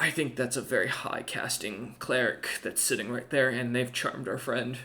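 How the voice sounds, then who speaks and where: A man whispers in a raspy, put-on character voice at a moderate pace. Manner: fearful whisper.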